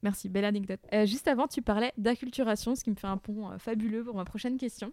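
A woman talks fairly quickly in a normal speaking voice, pitched fairly high with ordinary pitch variation. The sound is dry and close, with no echo. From Burgundy, France. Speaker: podcast host. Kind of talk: scripted narration; interview.

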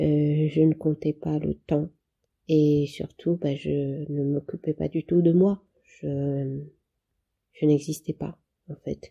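With a dark, mellow tone, the voice moves at a very slow pace in a flat monotone, with long, frequent pauses. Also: woman, very deep, low pitch for a woman. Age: 30s. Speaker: patient sharing her therapy experience. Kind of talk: testimony. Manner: halting.

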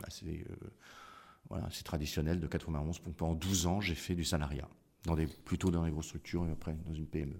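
This man has a very deep, low pitch. He speaks at a fairly slow pace. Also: fairly even intonation. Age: 50s. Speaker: business founder. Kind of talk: interview.

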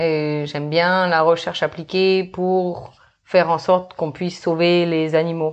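A woman talks at a fairly slow pace in a fairly low pitch. Her intonation is monotone and flat. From New Caledonia. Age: 30s. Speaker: marine biologist. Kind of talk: casual interview.

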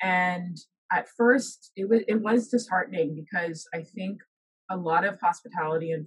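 A woman speaks at a moderate pace with medium pitch and lively intonation. Her voice is somewhat breathy. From the Bahamas. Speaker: professor and researcher. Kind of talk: casual interview chat.

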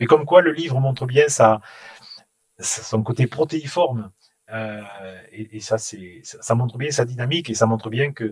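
The man's pitch is medium, with ordinary variation. He speaks at a moderate pace and sounds somewhat breathy. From Toulouse, southern France. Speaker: bookstore chain executive. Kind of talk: interview. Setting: empty bookstore. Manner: halting, repeats words.

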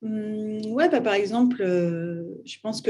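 A woman speaks in a dark, mellow tone. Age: 30s. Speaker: artist and art startup founder. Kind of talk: interview. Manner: casual, hesitant with fillers.

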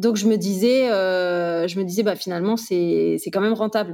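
A woman's medium-pitched voice with a dark, mellow tone moves at a moderate pace. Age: 30s. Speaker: real estate investor and trainer. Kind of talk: casual interview testimony.

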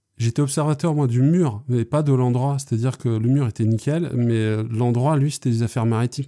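A man talks at a moderate pace and medium pitch, in a dark, mellow tone with fairly even intonation. His loudness stays very even, with hardly any pauses, and the recording is very clean with a silent background. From Brittany, Lorient area. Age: 40s. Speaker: street artist. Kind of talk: interview. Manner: talkative; hesitant, frequent fillers.

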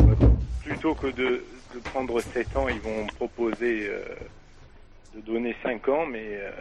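Noticeable background noise sits behind a man talking in a medium pitch. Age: 20s. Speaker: caller. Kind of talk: call-in debate.

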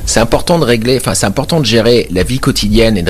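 Background noise is noticeable here. Over it, a man talks with lively intonation. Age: 30s. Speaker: mayor. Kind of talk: radio interview. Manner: halting, many repetitions.

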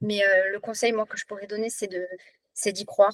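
The voice has monotone, flat intonation, and the sound is dry and close with no echo. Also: woman. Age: 40s. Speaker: teacher and former weight-loss program client. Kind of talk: testimony in an online workshop. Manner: halting, many hesitations and repetitions.

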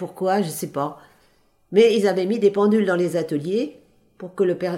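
Pitch variation here is ordinary. The tone comes across dark and mellow. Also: woman. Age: 80s+. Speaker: retired couture seamstress and union activist. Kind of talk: interview. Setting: at home in her apartment.

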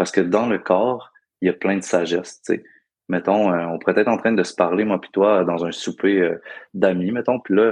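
In a Quebec accent, a man speaks at a moderate pace with a fairly low voice. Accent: Québécois French. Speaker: breathwork guide. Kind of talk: casual interview. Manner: animated, laughing.

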